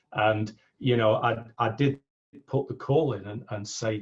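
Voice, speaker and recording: At a moderate pace, a man speaks in a somewhat breathy voice with fairly even intonation. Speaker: business coach. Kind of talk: interview.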